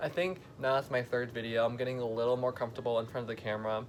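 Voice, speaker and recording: Music plays in the background as a man speaks. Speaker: vlogger. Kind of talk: casual baking vlog. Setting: home basement kitchen. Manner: fast; animated.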